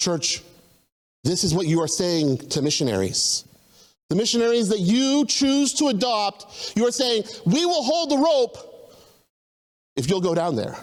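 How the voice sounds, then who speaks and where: With an American accent, a man speaks fairly slowly in a high, animated voice, his pitch swinging very widely while his loudness stays very even and long pauses come often. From US South, Tennessee. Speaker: missionary. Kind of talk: testimony. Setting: church service, streamed.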